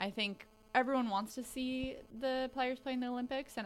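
A woman talks in a normal speaking voice, fairly high in pitch and at a moderate pace. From western Canada (grew up partly in Kelowna, BC). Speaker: team media personality. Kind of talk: casual sports chat.

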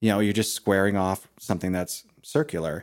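A man speaks at a fairly quick pace in a normal speaking voice, pitched fairly low. His pitch varies in an ordinary way, on a very clean recording with a silent background. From Maine, US. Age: 40s. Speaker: hand hewing craftsman. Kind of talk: interview. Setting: workshop in a dairy barn.

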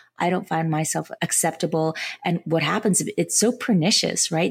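Speaking at a moderate pace, a woman with a fairly low pitch and vocal fry is heard in a very clean recording with a silent background. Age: 50s. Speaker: podcast host and family psychotherapist. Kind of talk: interview.

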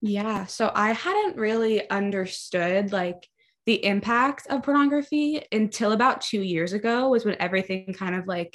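A normal speaking voice from a woman with an American accent, fairly high pitch, ordinary pitch variation, moderate pace. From Maryland, US. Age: 20s. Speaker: barista. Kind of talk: testimony.

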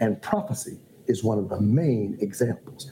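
A man with an American accent has a dark, mellow, somewhat breathy tone and very wide pitch swings. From Ohio. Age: 50s. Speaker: bishop and pastor. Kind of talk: casual chat. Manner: formal.

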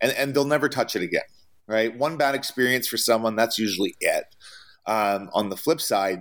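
With a Canadian accent and an ordinary speaking voice, a man speaks with ordinary pitch variation on a very clean recording with a silent background. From Canada. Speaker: traveling chef. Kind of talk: interview.

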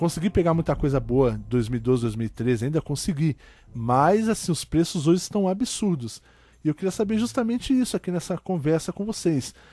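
A man with a fairly high pitch and a dark, mellow tone swings his pitch very widely, recorded very cleanly over a silent background. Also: moderate pace. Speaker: podcast host. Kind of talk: casual chat.

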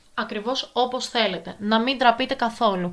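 The tone is animated. A woman is speaking. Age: 20s. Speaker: podcast host, advice giver. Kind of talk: casual advice podcast monologue.

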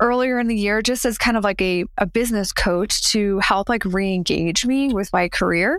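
A normal speaking voice from a woman with an American accent, medium in pitch with ordinary pitch variation and very even loudness, at a moderate pace with hardly any pauses, in a very clean recording with a silent background. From New Jersey. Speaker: mindset coach. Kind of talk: interview.

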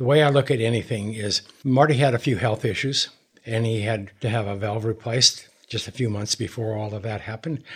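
Somewhat breathy, a man speaks at a fairly quick pace and a medium pitch with fairly even intonation. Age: 70s. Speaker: grounding product advocate. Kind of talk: interview.

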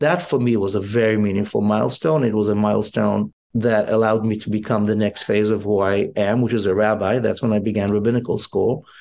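Talking at a fairly quick pace with hardly any pauses, a man uses a fairly low pitch. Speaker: rabbi and spiritual leader. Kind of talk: casual chat. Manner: animated.

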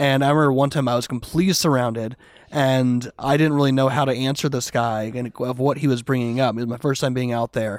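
With fairly even intonation, a man rushes along at a very fast pace. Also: medium pitch for a man. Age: 40s. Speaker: street evangelist. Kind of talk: casual chat.

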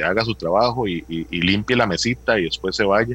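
A man's fairly low, bright, sharp voice with vocal fry and lively intonation. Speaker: doctor, health administrator. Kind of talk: interview.

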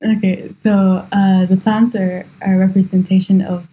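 Her voice is somewhat breathy with a dark, mellow tone, sitting at a medium pitch for a woman and staying monotone and flat. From Kuwait. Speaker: hobbyist photographer. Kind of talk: interview.

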